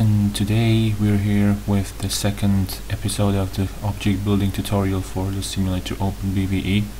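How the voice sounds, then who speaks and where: With audible room echo and noticeable background noise, a man speaks at a fairly low pitch with hardly any pauses. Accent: non-native. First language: not English. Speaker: tutorial youtuber. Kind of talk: tutorial. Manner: halting, with self-corrections.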